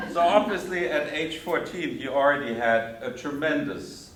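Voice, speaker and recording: Amid audible room echo and noticeable background noise, a man with a German accent talks at a fairly slow pace and fairly high pitch with lively intonation. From Germany. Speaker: theologian and lecturer. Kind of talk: lecture.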